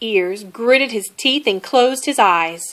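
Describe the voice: Here is plain reading aloud, delivered with lively intonation.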